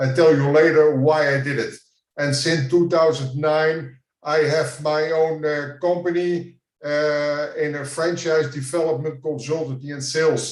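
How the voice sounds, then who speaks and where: A man with a Dutch accent speaks at a fairly slow pace and a fairly high pitch in a monotone, flat intonation. Audible room echo is present. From Netherlands. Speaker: franchise consultant. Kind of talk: conference presentation.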